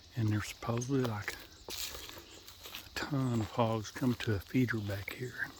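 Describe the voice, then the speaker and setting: Quiet and fairly slow, a man with a Southern US accent speaks at a medium pitch with fairly even intonation against noticeable background noise. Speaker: hog trapper. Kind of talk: outdoor vlog narration. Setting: outdoors. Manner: casual.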